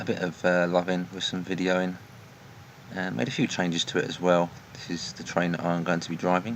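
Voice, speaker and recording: A man's very deep, low voice, fairly even in intonation, with noticeable background noise. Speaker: train simulator gameplay commentator. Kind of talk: gameplay commentary. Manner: soft-spoken.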